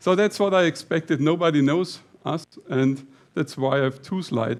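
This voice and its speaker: Noticeable background noise sits behind a man with a Bavarian accent. He talks at a fairly slow pace, high in pitch, with ordinary pitch variation. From Lower Bavaria, Germany. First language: Bavarian dialect / German. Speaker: company CEO, conference speaker. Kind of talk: conference talk. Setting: stage with audience. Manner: halting, with fillers.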